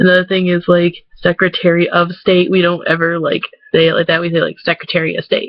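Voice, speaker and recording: With an American accent, a woman of fairly low pitch speaks very fast in a monotone, flat intonation. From Michigan, USA. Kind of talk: casual talk to camera.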